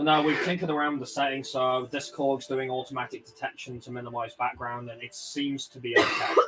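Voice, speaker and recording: Talking at a very fast pace with hardly any pauses, a man with a strong Birmingham accent keeps a fairly even intonation at medium pitch, his loudness swinging widely over noticeable background noise. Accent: strong Birmingham (Brummie). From Birmingham, England (West Midlands). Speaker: streamer. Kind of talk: casual chat. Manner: halting.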